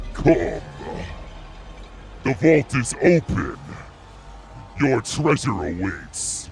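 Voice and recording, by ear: A man performs a put-on character voice at medium pitch with very wide pitch swings. He goes at a very slow pace over clear background noise.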